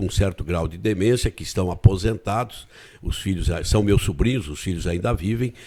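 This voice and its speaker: In a very clean recording with a silent background, a man speaks with a dark, mellow tone at a fairly low pitch. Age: 70s. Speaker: retired politician and teacher. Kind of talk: interview. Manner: halting, frequent repetitions.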